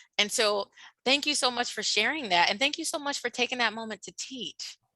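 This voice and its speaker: A woman's high-pitched voice with an American accent, bright and sharp in tone, ordinary pitch variation, big swings in loudness, and a dry, close sound with no echo. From Washington DC area. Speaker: diversity and inclusion speaker. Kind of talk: workshop presentation. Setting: video call. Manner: animated.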